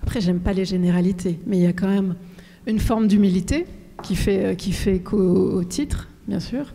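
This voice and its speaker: A woman's somewhat breathy, dark, mellow voice, medium in pitch, with fairly even intonation and a moderate pace. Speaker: author. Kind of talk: talk with audience Q&A.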